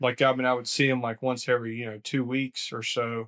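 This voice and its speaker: In a Southern accent, a man of medium pitch speaks at a fairly quick pace with monotone, flat intonation, in a dry, close sound with no echo over a quiet background. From US South, Augusta, Georgia. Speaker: lawn care business owner. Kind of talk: podcast interview.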